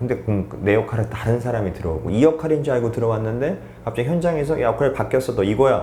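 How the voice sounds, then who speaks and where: Lively in intonation, a man talks at medium pitch in an ordinary speaking voice. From South Korea, North Gyeongsang. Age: 40s. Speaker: actor. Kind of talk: interview answer.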